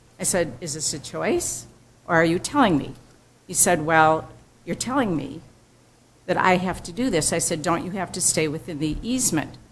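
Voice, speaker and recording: With lively intonation at a moderate pace, a woman speaks at a fairly low pitch, leaving long, frequent pauses amid audible room echo. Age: 70s. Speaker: resident giving public comment. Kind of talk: public comment at township board meeting.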